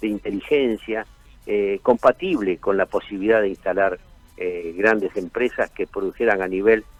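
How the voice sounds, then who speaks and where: With music in the background, a man speaks at a moderate pace. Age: 70s. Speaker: business association leader. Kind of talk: radio interview.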